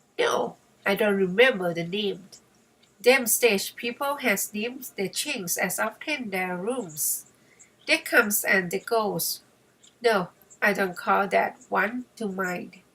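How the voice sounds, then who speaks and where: A woman uses a husky, guttural put-on character voice at medium pitch. She speaks at a fairly slow pace with ordinary pitch variation. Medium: read story. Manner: chatty, ungrammatical.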